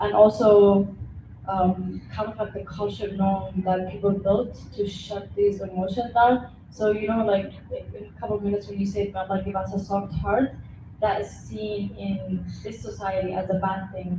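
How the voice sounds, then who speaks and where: A woman with an Arabic accent, big swings in loudness and audible room echo. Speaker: class participant. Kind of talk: class discussion.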